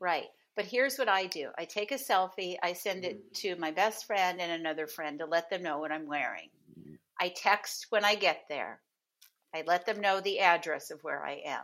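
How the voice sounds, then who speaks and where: Here is a woman with an unremarkable speaking voice. She talks at a moderate pace with ordinary pitch variation. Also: medium pitch for a woman. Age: 60s. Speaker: dating coach. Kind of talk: casual interview chat.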